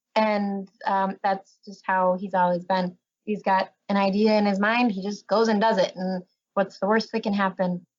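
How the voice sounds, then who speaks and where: Flat and monotone, a woman's medium-pitched voice proceeds at a moderate pace. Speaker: camp staff member. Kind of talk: casual chat.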